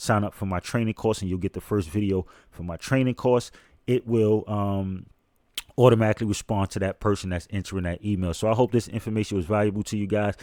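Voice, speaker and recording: Talking at a very fast pace, a man uses a fairly low, dark and mellow voice with fairly even intonation. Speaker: online business and reaction channel creator. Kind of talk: tutorial. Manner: casual, fast to get to the point.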